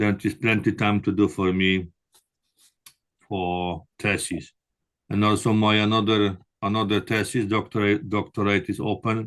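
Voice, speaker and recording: Speaking at a moderate pace with a Polish accent, a man leaves long, frequent pauses. His fairly low voice has a monotone, flat intonation. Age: 60s. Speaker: construction manager and prospective doctoral student. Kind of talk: interview. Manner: halting.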